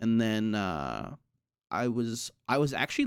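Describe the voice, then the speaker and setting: With lively intonation, a man speaks on a very clean recording with a silent background. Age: 20s. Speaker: video game streamer. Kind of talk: casual podcast interview. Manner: halting, many restarts.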